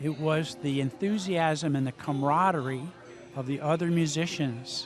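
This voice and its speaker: At a moderate pace, a man speaks in an unremarkable speaking voice with a fairly high pitch and ordinary pitch variation. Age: 60s. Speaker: amateur musician. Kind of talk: interview. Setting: live music venue.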